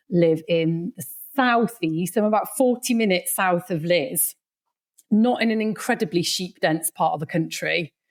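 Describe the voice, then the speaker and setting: A woman's fairly low voice in a Welsh accent at a fairly slow pace, in a very clean recording with a silent background. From Wales. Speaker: sheep consultant. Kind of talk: casual chat. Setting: podcast studio.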